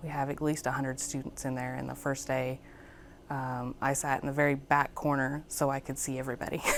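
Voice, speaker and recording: The speaker goes at a fairly quick pace with vocal fry and monotone, flat intonation. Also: woman. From Alabama. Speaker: Marine Corps veteran student. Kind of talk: interview answers. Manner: hesitant, many fillers.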